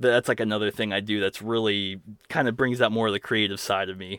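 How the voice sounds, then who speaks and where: This is a plain, everyday voice. A man talks at a moderate pace, fairly low in pitch, with fairly even intonation. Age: 30s. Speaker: musician. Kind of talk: interview. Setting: video call.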